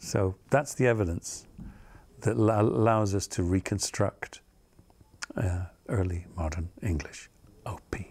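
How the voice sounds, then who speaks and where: Very slow, somewhat breathy speech from a man with a very deep, low pitch, ordinary pitch variation, and long, frequent pauses. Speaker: theatre professor and accent coach. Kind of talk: interview answer.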